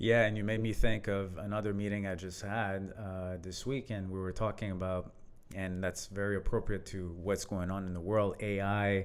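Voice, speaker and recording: Speaking with a French accent, a man keeps a fairly low pitch and a monotone, flat intonation. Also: moderate pace. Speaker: leadership coach. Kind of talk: casual conversation.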